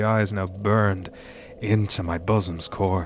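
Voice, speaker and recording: With music playing behind him, a man speaks in a fairly low voice with fairly even intonation. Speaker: streamer. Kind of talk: poetry reading. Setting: live stream.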